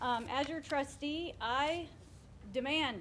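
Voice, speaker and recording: A loud woman's voice with ordinary pitch variation. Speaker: school board candidate. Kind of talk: campaign speech.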